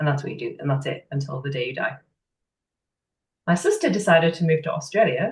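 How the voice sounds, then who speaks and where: A woman speaks at a very fast pace in a very deep, low voice that is somewhat breathy. Long pauses come often. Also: ordinary pitch variation. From northeast England (Sunderland). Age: 30s. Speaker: business owner, women's coach. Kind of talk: interview, personal story.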